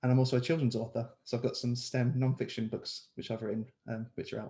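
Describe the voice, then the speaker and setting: A somewhat breathy man with a London accent, medium pitch, dark, mellow tone, monotone, flat intonation and a very fast pace. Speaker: clinical researcher and children's author. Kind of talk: panel introduction.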